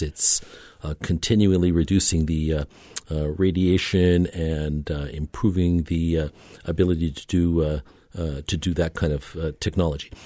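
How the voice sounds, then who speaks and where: A man with a Canadian accent, very deep, low pitch, dark, mellow tone, fairly even intonation, and a moderate pace. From Canada. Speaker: orthopedic surgeon. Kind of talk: radio interview. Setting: studio. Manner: halting, many fillers.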